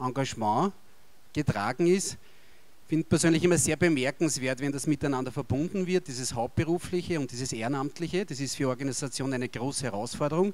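Talking at a fairly quick pace with an Austrian accent, a man with a fairly high pitch shows ordinary pitch variation. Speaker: politician. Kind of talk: official speech. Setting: stage with audience. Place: hall. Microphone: handheld.

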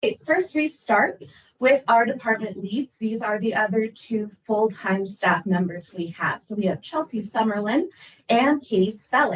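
Somewhat breathy, fairly high-pitched woman with an American accent, lively intonation and a moderate pace. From Minnesota, Rochester. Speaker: librarian. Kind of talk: presentation. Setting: public board meeting.

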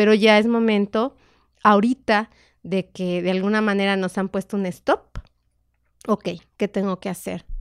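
A woman's medium-pitched voice at a fairly slow pace, with fairly even intonation, long, frequent pauses, and a quiet background. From Mexico. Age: 50s. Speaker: meditation therapist, former homemaker; podcast guest. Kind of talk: casual interview chat. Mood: calm, reflective. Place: studio. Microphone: studio mic.

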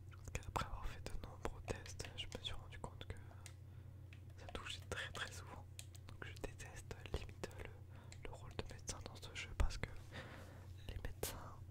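A man at a moderate pace with long, frequent pauses. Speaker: ASMR and gaming YouTuber. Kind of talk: casual gameplay commentary to camera. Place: home room.

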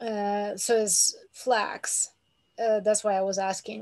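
Her pitch sits at a medium level for a woman, with monotone, flat intonation. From Ukraine. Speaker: workshop attendee. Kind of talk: Q&A question. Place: home room. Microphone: video call.

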